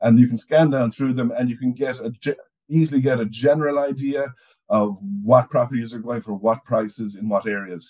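A man with an Irish accent, medium pitch, and a dark, mellow tone, at a fairly quick pace with ordinary pitch variation, over a quiet background. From Ireland. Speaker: overseas property newsletter editor. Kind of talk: casual conversational podcast chat. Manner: halting, repeats words often. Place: home room. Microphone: video call.

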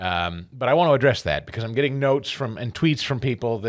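A man talks at a fairly quick pace. The background is quiet. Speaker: radio talk show host. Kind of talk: talk radio show opening monologue. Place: studio. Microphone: studio mic.

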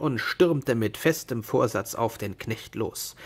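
Vocal fry runs through this man's speech. He talks slowly, with a slightly husky edge.

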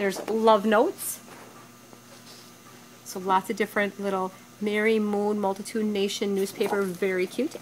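A woman speaks at a moderate pace with fairly even intonation over light background noise. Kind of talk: product walkthrough commentary. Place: factory. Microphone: phone near.

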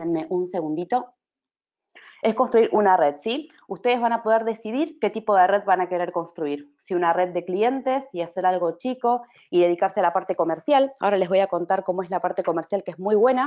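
With an unremarkable speaking voice, a woman talks at a fairly quick pace in a medium pitch and lively intonation. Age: 30s. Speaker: network marketing distributor. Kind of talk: sales pitch.

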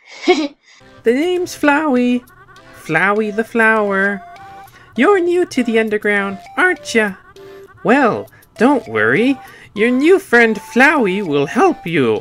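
At a fairly slow pace, a put-on character voice with fairly high pitch speaks over faint music in the background. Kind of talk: game character voice. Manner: fake-friendly, cheery.

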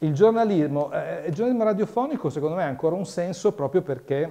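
A man speaks with lively intonation. His tone is dark and mellow. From Italy. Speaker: radio journalist. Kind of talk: workshop lecture. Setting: room with live audience. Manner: animated. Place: hall.

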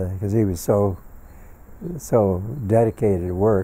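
Fairly low in pitch, a man speaks with a dark, mellow tone and fairly even intonation. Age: 80s+. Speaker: science fiction author and professor emeritus. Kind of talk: interview answer. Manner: hesitant, halting. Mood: warm reminiscing. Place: home room. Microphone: lapel.

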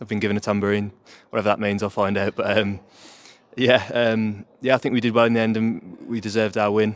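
A man talks at a very fast pace in a fairly low voice. His intonation stays monotone and flat. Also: dry sound with no echo. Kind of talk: interview answer. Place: stadium. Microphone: handheld.

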